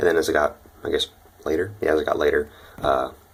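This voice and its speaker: Very fast speech from a man with an American accent comes through noticeable background noise. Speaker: exchange student vlogger. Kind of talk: casual vlog. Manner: quiet, talking low; hesitant, many fillers.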